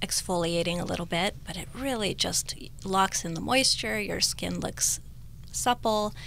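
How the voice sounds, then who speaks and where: With an American accent, a woman speaks at a moderate pace in a dry sound with no echo and light background noise. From Northern California. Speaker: cosmetic patient, esthetician. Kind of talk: radio interview, testimony. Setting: radio studio. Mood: warm, appreciative. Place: studio. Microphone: studio mic.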